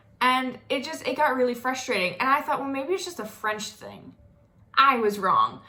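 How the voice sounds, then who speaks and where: A woman with an American accent projects her voice in a high pitch with a bright, sharp tone. Her intonation is lively and her loudness swings widely. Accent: slight Southern US drawl at times. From US South, North Florida. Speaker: vlogger. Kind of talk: casual monologue.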